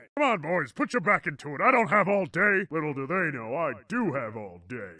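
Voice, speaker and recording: At a fairly quick pace, a man speaks at a fairly high pitch, his voice making very wide pitch swings. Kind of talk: comic overacting. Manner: sarcastic, then raging.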